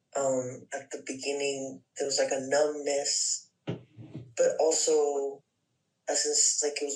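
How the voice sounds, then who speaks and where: Music plays in the background as a man speaks at a very slow pace. His voice sits fairly high, with fairly even intonation. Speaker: workshop participant. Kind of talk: personal sharing in group session.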